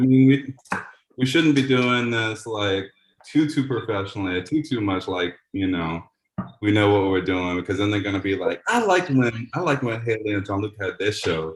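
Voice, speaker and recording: Somewhat breathy, a man talks at a moderate pace in a fairly low voice with ordinary pitch variation. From New Orleans, Louisiana. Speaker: community radio host. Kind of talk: casual chat.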